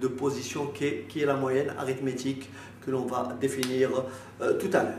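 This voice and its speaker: A voice echoing off the room talks at an even, middling speed while clear background noise runs underneath. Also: man. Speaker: math teacher. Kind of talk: lecture. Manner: halting.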